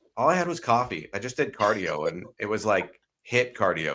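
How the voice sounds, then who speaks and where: A man talks loudly at a moderate pace and a medium pitch, his tone bright, sharp and animated. The recording is very clean, with a silent background. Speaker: wellness live stream host. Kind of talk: casual discussion. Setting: live stream.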